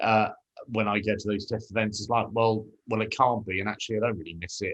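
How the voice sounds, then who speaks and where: Someone speaks at a very fast pace with a British accent. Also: man. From UK. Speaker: podcast host. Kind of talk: interview.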